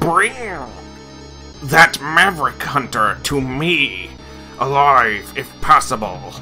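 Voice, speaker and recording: A man talks in a raspy, put-on character voice with fairly high pitch. He goes very slowly while clear music plays in the background. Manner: commanding, sinister.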